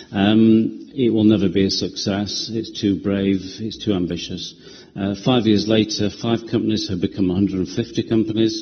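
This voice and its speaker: Fairly low in pitch, the man speaks in a Yorkshire accent. His intonation is monotone and flat. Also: moderate pace. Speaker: property developer. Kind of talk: committee presentation. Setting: council committee meeting. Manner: hesitant, many ums and uhs.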